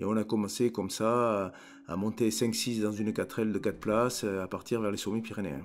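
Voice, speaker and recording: With fairly even intonation and a moderate pace, a man talks in a fairly low voice on a very clean recording with a silent background. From Hautes-Pyrénées, southwest France. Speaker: mountain guide and trekking company founder. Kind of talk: interview storytelling. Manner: halting, with word repetitions.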